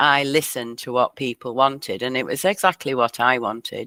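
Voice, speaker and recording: A woman with a Lancashire accent speaks with a very deep, low pitch, a bright, sharp tone and ordinary pitch variation. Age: 60s. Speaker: community broadband founder. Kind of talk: interview.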